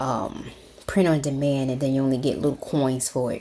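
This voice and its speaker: There is vocal fry in this woman's very deep, low voice. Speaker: craft tutorial YouTuber. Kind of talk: tutorial. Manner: animated.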